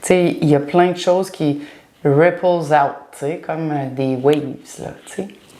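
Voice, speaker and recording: A woman speaks at a fairly slow pace in a very deep, low pitch, with fairly even intonation, big swings in loudness, and long, frequent pauses. Audible room echo and noticeable background noise are present. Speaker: spiritual teacher. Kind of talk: casual chat.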